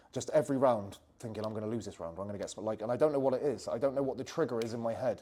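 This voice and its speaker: With a West Country accent, this man talks with ordinary pitch variation. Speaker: jiu-jitsu coach. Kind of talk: interview answer.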